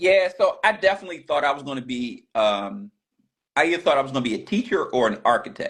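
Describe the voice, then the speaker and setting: A man speaks in a Baltimore accent. His pace is very fast. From US, Baltimore. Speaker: pastor and business coach. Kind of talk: interview, casual chat.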